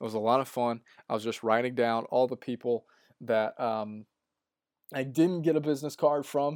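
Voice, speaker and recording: On a very clean recording with a silent background, a man speaks at a fairly quick pace in a normal speaking voice, medium in pitch with ordinary pitch variation. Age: 20s. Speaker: podcast host, graduate assistant in sports information. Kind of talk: solo podcast recap. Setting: solo podcast recording. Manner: casual, with frequent fillers and restarts.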